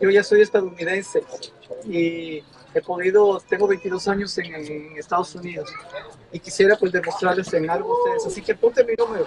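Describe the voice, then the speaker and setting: With noticeable background noise, a man speaks at a moderate pace in a high pitch, with fairly even intonation. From Ecuador. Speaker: journalist. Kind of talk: field interview.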